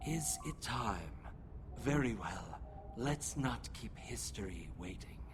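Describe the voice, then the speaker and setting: Loud background noise surrounds a put-on character voice that moves at a fairly slow pace with long, frequent pauses. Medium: video game. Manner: calm, resolute.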